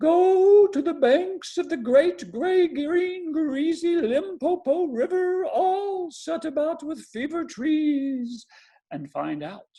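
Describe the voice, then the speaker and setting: This is a put-on character voice with a high pitch. It moves at a very slow pace. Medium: read story. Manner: mournful.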